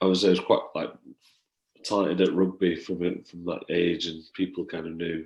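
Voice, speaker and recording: His pitch is very deep and low. The voice belongs to a man. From northern England, Warrington. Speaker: rugby league player. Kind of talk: casual interview.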